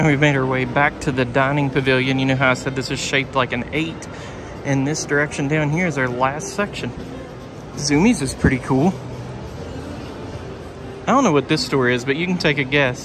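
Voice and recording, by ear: Over clear music in the background, a man speaks at a moderate pace with long, frequent pauses. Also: medium pitch for a man, ordinary pitch variation.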